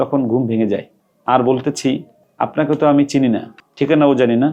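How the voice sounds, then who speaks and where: This man has an unremarkable speaking voice. His pitch sits fairly high and shows ordinary variation. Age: 40s. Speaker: Islamic cleric and madrasa director. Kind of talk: reading a letter aloud with commentary.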